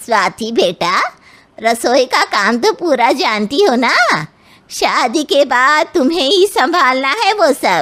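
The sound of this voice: A woman does a cartoonish character voice, high in pitch with very wide pitch swings, at a fairly slow pace and very even loudness.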